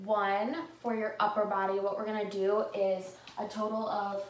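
Amid light background noise and audible room echo, a woman speaks at a fairly slow pace with monotone, flat intonation. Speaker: fitness instructor. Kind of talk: tutorial. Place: home room. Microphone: camera far.

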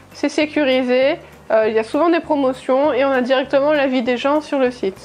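A woman's high voice at a moderate pace, fairly even in intonation, with faint music in the background. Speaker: travel vlogger. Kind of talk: casual vlog chat. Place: home room. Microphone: lapel.

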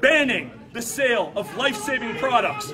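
Amid noticeable background noise, a man uses a raised, projected voice at an extremely high pitch, with a passionate tone and lively intonation. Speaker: consumer advocate. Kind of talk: interview answer. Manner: passionate, indignant. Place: meeting room.

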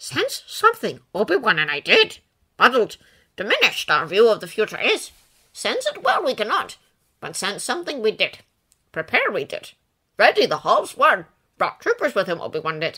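Putting on a character voice, a woman speaks at a moderate pace in a calm tone. She takes long, frequent pauses. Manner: calm, backwards inverted speech; kind, gently amused.

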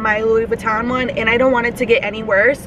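A woman's high-pitched voice at a moderate pace, fairly even in intonation, dry with no echo, over noticeable background noise. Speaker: YouTube vlogger; vlogger. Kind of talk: casual mukbang vlog. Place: car. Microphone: phone near.

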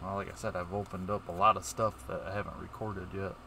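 This man speaks very fast in a fairly low voice with fairly even intonation, a dry sound without echo, and light background noise. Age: 40s. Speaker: YouTuber opening trading cards; card opening streamer. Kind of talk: casual vlog. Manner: halting. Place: home room.

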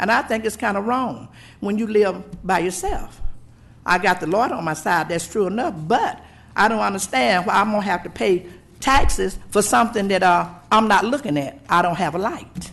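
A woman with a Southern US accent, medium in pitch, with lively intonation at a moderate pace. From US South. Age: 70s. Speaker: local resident. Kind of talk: public comment. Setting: public meeting.

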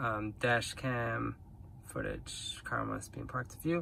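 A man at a very slow pace, dry sound with no echo, light background noise behind him. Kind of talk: casual tutorial demo. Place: car. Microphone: phone near.

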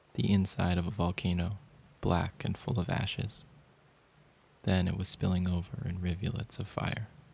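With a very deep, low pitch, a man speaks at a moderate pace, somewhat breathy and fairly even in intonation, leaving long, frequent pauses. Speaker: poetry reader. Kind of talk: poem reading, measured and intimate, like a hushed spoken-word narration.

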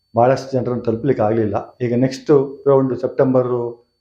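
A man's dark, mellow voice sits at a medium pitch with fairly even intonation. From Narasimharajapura taluk, Chikkamagaluru, Karnataka. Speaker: retired college principal, farmer. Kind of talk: testimony.

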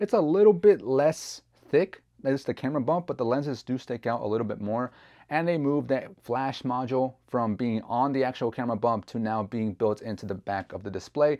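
A man's lively intonation at a fairly quick pace. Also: quiet background. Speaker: tech reviewer. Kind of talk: product review talk. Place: home room. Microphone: lapel.

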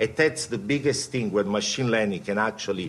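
Lively intonation from a man with an Italian accent. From Italy. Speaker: quant fund CEO; panelist. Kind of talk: panel talk. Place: meeting room. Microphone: podium.

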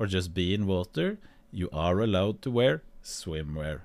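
A man talks at a very slow pace with a Norwegian accent. His intonation is lively. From Norway. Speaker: streamer. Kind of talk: reaction stream commentary. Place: home room. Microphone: studio mic.

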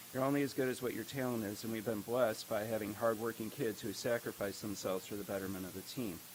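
A soft-spoken man talks at a very fast pace. His intonation stays fairly even. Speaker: high school baseball coach. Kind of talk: speech recap at board meeting. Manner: hesitant, many fillers.

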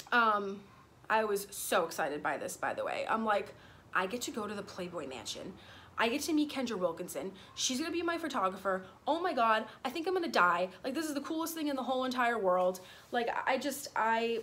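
Over light background noise, a woman talks at a fairly quick pace with very wide pitch swings. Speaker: vlogger. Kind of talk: casual vlog storytime. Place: garden. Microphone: phone near.

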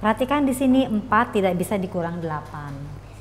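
A woman's fairly slow speech is accompanied by music in the background. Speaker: teacher. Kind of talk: tutorial. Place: classroom. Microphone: lapel.

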